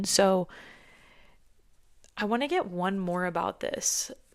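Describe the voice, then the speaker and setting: The speaker uses fairly even intonation on a very clean recording with a silent background. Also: woman. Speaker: tarot reader and psychic medium. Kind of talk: collective tarot reading.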